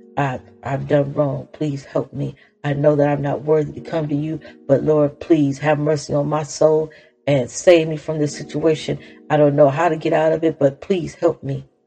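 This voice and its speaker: Music plays in the background. The voice is animated and moves at a moderate pace. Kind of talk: fervent preaching and exhortation, testimony-style prayer and praise. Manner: impassioned, rising and urgent, praise-filled with rhetorical questions; animated, preacher-like cadence with repetition.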